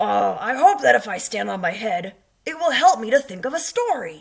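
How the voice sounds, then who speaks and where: Fairly high and raspy, this put-on character voice moves at a moderate pace. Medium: read story. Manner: earnest, fretful.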